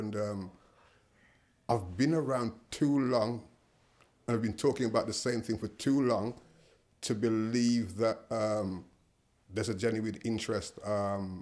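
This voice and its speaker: A man's medium-pitched voice with fairly even intonation and long, frequent pauses, on a very clean recording with a silent background. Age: 60s. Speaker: social worker. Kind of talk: interview. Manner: hesitant, many fillers.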